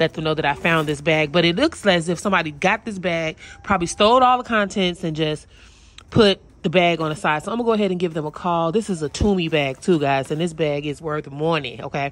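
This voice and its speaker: A woman with a fairly low pitch talks very fast, her pitch varying in an ordinary way, in a dry sound with no echo. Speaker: dumpster diving vlogger. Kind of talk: casual vlog chat. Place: street. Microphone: phone near.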